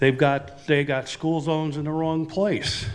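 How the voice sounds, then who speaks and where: Over audible room echo, a man with a fairly high pitch speaks at a very slow pace. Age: 80s+. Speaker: resident giving public comment. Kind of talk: public comment at council meeting. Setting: council chambers.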